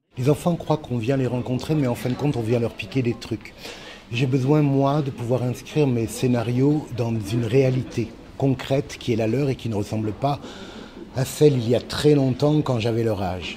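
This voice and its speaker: A man talks at a moderate pace with fairly even intonation. Light background noise can be heard. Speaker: children's author. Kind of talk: interview. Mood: warm, lightly humorous. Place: classroom.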